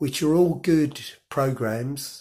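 A man's voice comes across somewhat breathy with ordinary pitch variation. The recording is very clean, with a silent background. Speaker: cycling vlogger. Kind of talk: casual tutorial. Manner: hesitant, many fillers.

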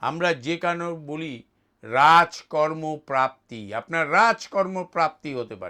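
In a very clean recording with a silent background, a man speaks at a fairly high pitch with a bright, sharp tone. His pitch varies in an ordinary way, while his loudness swings widely. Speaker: astrologer. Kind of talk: astrology forecast monologue.

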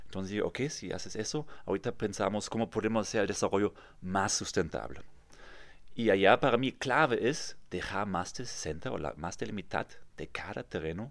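With lively intonation and a fairly low pitch, a man speaks at a moderate pace. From Germany, near Kassel; Germany. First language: German (speaking Spanish). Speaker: real estate developer; guest. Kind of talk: interview. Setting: studio. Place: studio. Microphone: studio mic.

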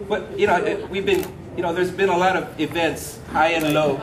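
Amid noticeable background noise, a man speaks at a high pitch with fairly even intonation. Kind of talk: party speech. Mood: warm, emotional, joking. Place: garden. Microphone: handheld.

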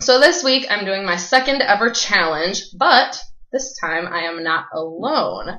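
A woman's upbeat tone, very wide pitch swings and fairly slow pace, with audible room echo. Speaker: vlogger. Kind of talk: casual talk to camera, vlog. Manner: upbeat, chatty. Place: kitchen. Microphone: webcam.

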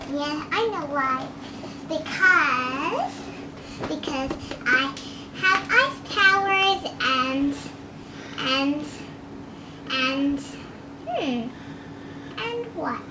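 With a raised, projected voice, a woman speaks very slowly with long, frequent pauses and ordinary pitch variation, over noticeable background noise. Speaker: doll play narrator. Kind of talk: pretend play voicing of doll characters. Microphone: phone near.

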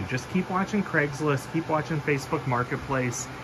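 The speaker is a man. There is noticeable background noise. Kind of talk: casual vlog chat. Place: workshop. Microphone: phone near.

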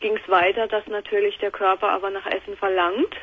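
A woman speaks in a monotone with flat intonation at a moderate pace. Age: 20s. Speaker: caller. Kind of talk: phone-in talk. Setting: phone call. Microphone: phone line.

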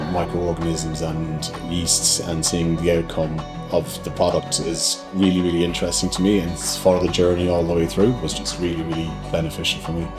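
A man speaks with hardly any pauses. Clear music plays in the background. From Ireland. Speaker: cellar-door manager. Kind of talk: interview answer. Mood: calm, positive. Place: shop.

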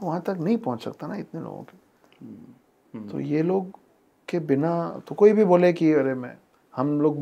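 Lively intonation marks this man's speech, delivered in a dark, mellow tone. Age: 40s. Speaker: author. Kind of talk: casual chat. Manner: reflective, storytelling.

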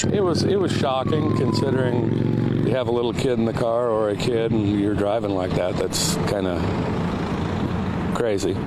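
The man speaks at a moderate pace, the sound dry with no echo, while loud background noise carries on. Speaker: eyewitness, local resident. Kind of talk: interview answer. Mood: shocked, disapproving. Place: open country. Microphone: handheld.

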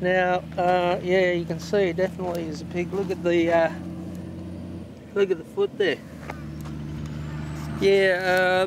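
Against noticeable background noise, a man speaks at a fairly slow pace with a high pitch in a dry sound with no echo. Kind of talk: casual vlog chat. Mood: curious, mildly amused. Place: open country. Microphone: phone near.

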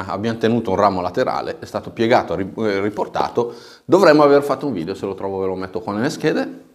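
Lively intonation marks an ordinary speaking voice. The background is quiet. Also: man. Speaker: bonsai instructor. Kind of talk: tutorial. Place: studio.

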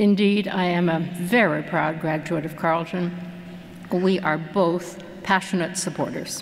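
Over light background noise, a woman with a fairly low pitch speaks at a fairly slow pace in a monotone, flat intonation. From Canada. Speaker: philanthropist. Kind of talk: acceptance speech. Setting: stage with audience. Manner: formal. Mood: warm, proud, measured. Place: hall. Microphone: podium.

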